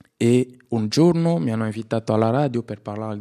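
An ordinary speaking voice from a man, medium in pitch with ordinary pitch variation, in a dry, close sound with no echo. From DR Congo, Kinshasa. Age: 20s. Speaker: refugee actor. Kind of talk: personal testimony.

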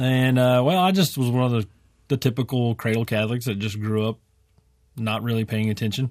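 At a fairly quick pace, a man with an American accent talks with ordinary pitch variation in a very clean recording with a silent background. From West Texas. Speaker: farmer and podcaster. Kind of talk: radio interview. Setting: studio. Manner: joking, comic.

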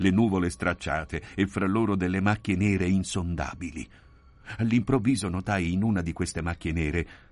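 A natural reading voice carries the clip.

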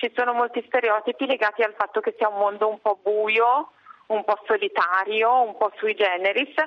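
At a moderate pace, a woman with a fairly high pitch speaks in an unremarkable speaking voice, with fairly even intonation and very even loudness. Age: 40s. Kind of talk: radio interview.

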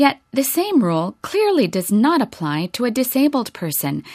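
A woman is speaking. Her tone is solemn. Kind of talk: audiobook reading of a papal encyclical. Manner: formal, measured, solemn.

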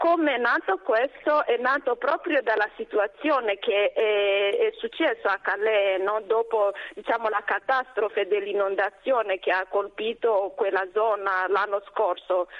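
With music in the background, a woman speaks at a fairly slow pace and a fairly high pitch. Her loudness stays very even and her pitch varies in an ordinary way. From DR Congo, South Kivu. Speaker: nun, superior general of a congregation. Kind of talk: radio interview. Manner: hesitant, many fillers.

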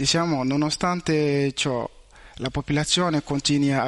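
A man's fairly slow delivery keeps a fairly even intonation. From Mali. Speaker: university student. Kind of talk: interview. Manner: halting, non-native.

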